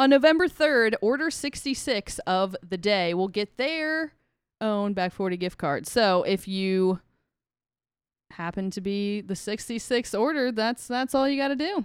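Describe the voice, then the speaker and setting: A woman with an American accent speaks fairly slowly in an unremarkable speaking voice, with a fairly high pitch and lively intonation. The recording is very clean with a silent background and has a dry, close sound with no echo. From Ohio. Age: 20s. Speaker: brewery merchandise director, podcast host. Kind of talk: casual chat with event promotion. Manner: upbeat.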